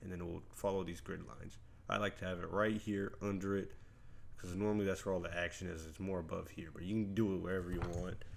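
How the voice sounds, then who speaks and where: A man talks very fast with a very deep, low pitch, and the room echo is audible. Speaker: video editing tutorial youtuber. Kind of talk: tutorial. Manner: casual, energetic.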